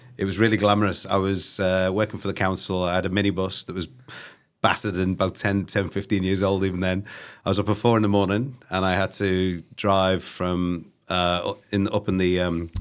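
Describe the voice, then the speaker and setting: A man with a Liverpool accent speaks at a fairly quick pace in a very deep, low voice, his intonation monotone and flat, on a very clean recording with a silent background. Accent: Scouse. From northern England, Liverpool. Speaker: recruitment company CEO. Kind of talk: interview. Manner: halting, many fillers; casual.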